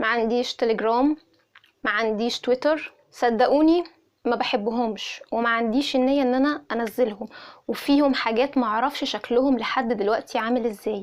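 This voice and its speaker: Her high-pitched voice holds a very even loudness and fairly even intonation as this woman talks at a moderate pace. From Egypt, Cairo. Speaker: YouTuber, lifestyle vlogger. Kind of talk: casual chat. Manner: conversational, direct address to viewers.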